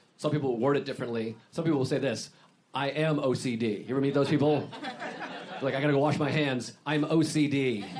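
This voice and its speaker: Talking at a fairly quick pace with an American accent, a man holds a fairly high pitch and fairly even intonation amid noticeable background noise and audible room echo. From Massachusetts. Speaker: comedian. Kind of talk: casual chat.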